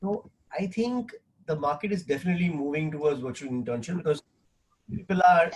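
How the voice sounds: At a fairly quick pace, the speaker's pitch rises and falls in an ordinary way. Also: man, fairly high pitch for a man.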